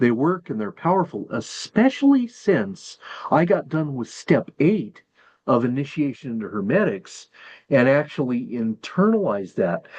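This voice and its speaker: Very wide swings of pitch in a fairly high male voice. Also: moderate pace. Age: 60s. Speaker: hermetic magic practitioner and teacher. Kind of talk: tutorial. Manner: halting.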